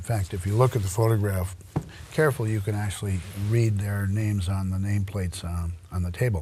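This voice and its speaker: A man speaks with an American accent at a fairly low pitch. Audible room echo is present, and his pitch variation is ordinary. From US Midwest, Royal Oak, Michigan. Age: 80s+. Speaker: local historian and lecturer. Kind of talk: lecture. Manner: halting, many fillers.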